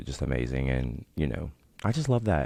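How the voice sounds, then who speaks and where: A man talks at a fairly quick pace. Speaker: podcast host. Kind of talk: casual vlog chat. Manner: monotone; filler-heavy, many likes.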